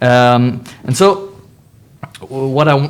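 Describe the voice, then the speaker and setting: A man speaks with a French accent. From France. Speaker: music journalist and panel moderator. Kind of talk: panel discussion. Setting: festival roundtable with audience. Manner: halting, many fillers.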